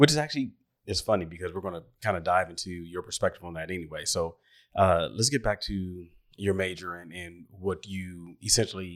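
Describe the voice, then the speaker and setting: Very deep and low in pitch, a man with an American accent talks at a fairly quick pace, with ordinary pitch variation and big swings in loudness, in a very clean recording with a silent background. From Washington, D.C. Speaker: podcast host. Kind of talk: interview conversation.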